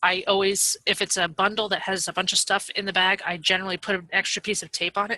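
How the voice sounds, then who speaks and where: A woman speaks very fast at a medium pitch, her tone bright and sharp but her intonation flat and monotone. The sound is dry and close, with no echo. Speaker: online seller giving a training webinar. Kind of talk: webinar tutorial. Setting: webinar with screen share.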